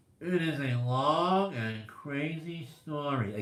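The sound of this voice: A man puts on a character voice, pitched fairly high. He speaks at a very slow pace.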